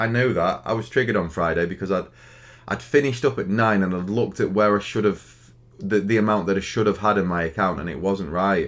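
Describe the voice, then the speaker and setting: In a Stoke accent, a man with a fairly low pitch speaks at a very fast pace, with ordinary pitch variation. The recording is very clean with a silent background. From Stoke-on-Trent, England. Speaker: day trader streamer. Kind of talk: live stream chat. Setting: live stream. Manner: halting.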